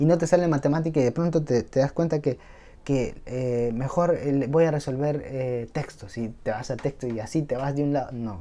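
A man's fairly high-pitched voice with a dark, mellow tone, at a moderate pace. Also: ordinary pitch variation. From Peru. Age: 20s. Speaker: YouTuber, medical student. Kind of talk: motivational talk to camera. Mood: warm, encouraging. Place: home room. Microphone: lapel.

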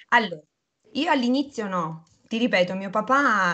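A woman's intonation is lively as she talks at a moderate tempo. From Abruzzo, central Italy. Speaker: retired professional cyclist. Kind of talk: casual interview. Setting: video call. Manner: animated. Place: kitchen. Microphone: video call.

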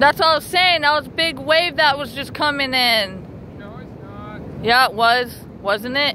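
At a moderate pace, the voice has a dry sound with no echo and light background noise. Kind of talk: casual family chat. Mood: excited, amused. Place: beach. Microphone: phone near.

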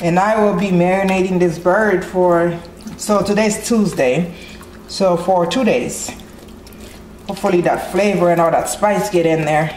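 A woman with medium pitch talks at a fairly slow pace, her intonation fairly even and her loudness very even. There is audible room echo and light background noise. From Haiti. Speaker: cooking channel host. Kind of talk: cooking tutorial. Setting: home kitchen. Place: kitchen. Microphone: phone near.

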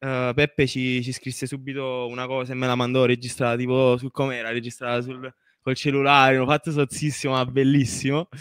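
In a very clean recording with a silent background, a man speaks at a fairly quick pace. His medium-pitched voice stays monotone and flat. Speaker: singer. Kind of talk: interview.

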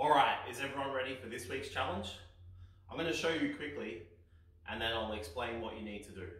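A man at a fairly quick pace in audible room echo, lively intonation, big swings in loudness, long and frequent pauses. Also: medium pitch for a man. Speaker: fitness instructor. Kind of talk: instructional kids' exercise video. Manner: clear, calm, encouraging. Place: home room.

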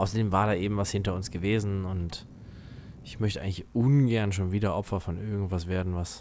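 A man speaks with a fairly low pitch. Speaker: gaming YouTuber. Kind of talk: let's play commentary. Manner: animated.

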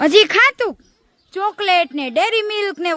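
A woman uses a raised, projected voice with very wide pitch swings, recorded with a dry, close sound and no echo. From Gujarat, India. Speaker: comedy vlogger. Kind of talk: casual vlog narration. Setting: outdoors in a village farm. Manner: animated.

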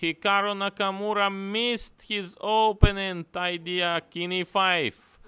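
In a very clean recording with a silent background, a man uses a raised, projected voice, high-pitched with a bright, sharp tone, at a very slow pace. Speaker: chess commentator. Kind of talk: live commentary. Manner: animated, breathless, rising to a dramatic climax.

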